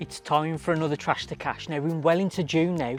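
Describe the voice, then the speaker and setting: Over music in the background, a man with a fairly high pitch talks at a fairly quick pace with fairly even intonation. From Wolverhampton, English West Midlands. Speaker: DIY upcycling presenter. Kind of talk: casual tutorial.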